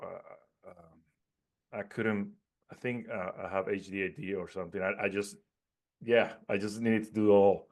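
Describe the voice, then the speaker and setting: A man with a Puerto Rican accent, fairly low in pitch, at a moderate pace with big swings in loudness. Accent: own accent, Puerto Rican Spanish. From Puerto Rico, mountains. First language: Spanish. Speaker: network marketing entrepreneur. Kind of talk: interview. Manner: halting, many repetitions and fillers.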